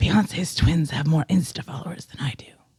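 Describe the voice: Someone performs a put-on character voice, gravelly and raspy, at a middle pitch and a fairly quick pace.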